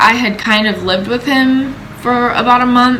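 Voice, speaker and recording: Audible room echo and noticeable background noise surround the voice. A woman speaks with fairly even intonation. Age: 20s. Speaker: vlogger sharing personal story. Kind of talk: personal testimony. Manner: casual, conversational with many fillers.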